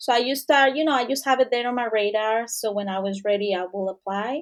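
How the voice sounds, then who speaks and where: A woman speaks with a Mexican accent and a fairly high pitch. The background is quiet. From Mexico. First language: Spanish. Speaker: returning professional. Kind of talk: interview. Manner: halting.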